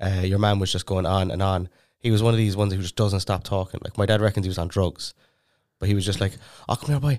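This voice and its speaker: Very fast speech from a man with an Irish accent, fairly low in pitch and fairly even in intonation, in a very clean recording with a silent background. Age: 20s. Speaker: podcast co-host. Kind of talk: casual chat. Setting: studio.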